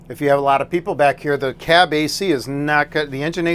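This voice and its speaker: The voice belongs to a man with a fairly high pitch. His intonation is fairly even. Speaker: RV dealership salesperson giving walkthrough. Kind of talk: product walkthrough tutorial. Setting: inside a motorhome. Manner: loud; casual, hesitant with many fillers.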